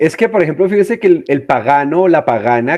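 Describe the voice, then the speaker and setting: His pitch swings very widely. This man keeps a fairly quick pace. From southwestern Colombia. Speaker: podcast co-host, pagan practitioner. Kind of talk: casual podcast discussion.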